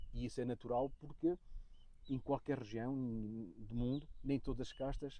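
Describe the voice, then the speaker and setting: A man with a Portuguese accent talks at a moderate pace. His tone is dark and mellow, and his intonation is lively. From Portugal. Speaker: winemaker / viticulturist. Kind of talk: interview.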